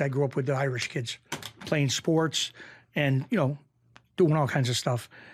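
A man with a fairly high pitch and a somewhat breathy voice talks at a fairly quick pace with ordinary pitch variation and long, frequent pauses. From Western Massachusetts (Springfield). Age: 50s. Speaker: former mob bookmaker. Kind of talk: casual interview storytelling.

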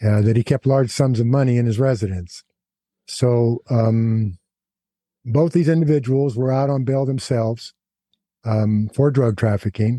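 A man speaks in a dark, mellow tone at a very even loudness, with long, frequent pauses. The sound is dry and close, with no echo. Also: medium pitch for a man, ordinary pitch variation, fairly slow pace. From California (Big Pine reservation). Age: 70s. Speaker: former prison gang leader. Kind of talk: interview. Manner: halting, many fillers; articulate.

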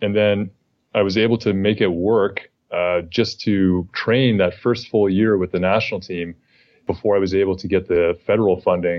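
This man talks at a moderate pace with a fairly low pitch and monotone, flat intonation. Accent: Canadian. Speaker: Olympic rower and author. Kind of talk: podcast interview.

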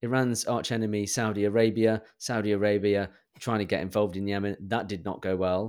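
A man with a British accent, fairly low in pitch, fairly quick, with monotone, flat intonation. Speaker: podcast co-host. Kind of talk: casual chat. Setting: remote call between UK and US.

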